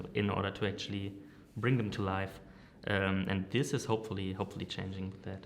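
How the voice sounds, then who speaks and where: At a fairly quick pace, a man talks with fairly even intonation and a fairly low pitch. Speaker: marketing director and agency founder. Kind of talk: interview. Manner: hesitant, many fillers.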